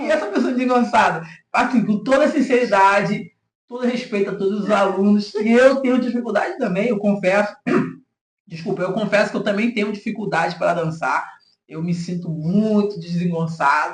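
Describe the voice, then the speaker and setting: A man talks in a high register at a moderate pace, his pitch varying in an ordinary way. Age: 60s. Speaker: podcast host. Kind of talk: podcast interview.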